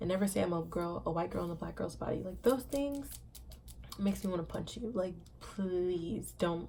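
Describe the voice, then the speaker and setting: Audible room echo around a woman's voice, in an American accent and at a moderate pace. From Indiana and Savannah, Georgia (US). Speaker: vlogger. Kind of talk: personal vlog monologue. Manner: mumbles sometimes; emphatic, repetitive.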